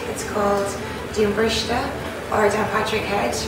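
A woman speaks over loud background noise, with audible room echo. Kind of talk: interview answer, guided tour. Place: garden.

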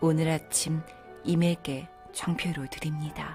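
Music plays behind a woman with a very deep, low pitch who talks in a calm tone at a very slow pace. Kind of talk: poetry reading, audiobook narration for sleep. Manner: soft, calm, slow.

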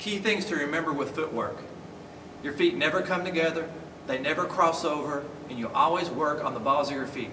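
Someone talks at a fairly quick pace with ordinary pitch variation, and noticeable background noise runs underneath. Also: man. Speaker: boxing coach. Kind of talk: tutorial. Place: gym.

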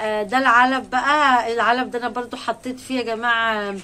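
A woman talks in a high pitch with a bright, sharp, animated tone over light background noise. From Egypt. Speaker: poultry-raising vlogger. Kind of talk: casual vlog talk to viewers. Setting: rooftop. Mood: joyful, warm. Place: farm machine. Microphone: phone near.

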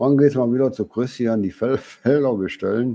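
Dark, mellow tone from a male speaker, his pitch varying in an ordinary way. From Germany. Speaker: YouTuber. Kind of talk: live stream Q&A. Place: home room.

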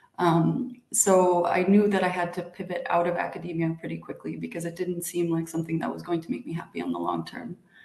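A woman with an American accent talks at a fairly quick pace. She hardly pauses, and the room echo is audible. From United States. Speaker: international organization executive, PhD alumna; panelist. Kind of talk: panel talk. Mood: friendly, reflective. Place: home room. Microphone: video call.

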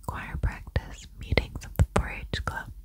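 A soft-spoken woman whispers at a fairly slow pace, the sound dry with no echo, over loud background noise. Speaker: audiobook reader. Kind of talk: soft-spoken book reading. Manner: soft close-mic whisper, reading aloud. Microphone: studio mic.

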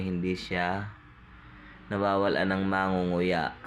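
A man's very deep, low voice with fairly even intonation and audible room echo. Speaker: vlogger and family caregiver. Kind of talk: cooking vlog narration.

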